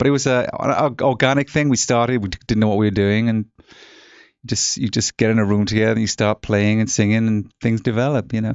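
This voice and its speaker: A man with an English accent, medium pitch, fairly even intonation and a fairly quick pace. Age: 50s. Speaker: rock musician. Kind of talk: casual interview. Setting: studio.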